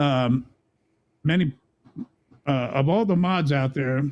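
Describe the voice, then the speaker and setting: Speaking in an American accent, a man uses a fairly high pitch with ordinary pitch variation. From US Midwest, Kansas City suburbs. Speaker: video game streamer. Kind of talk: casual interview chat.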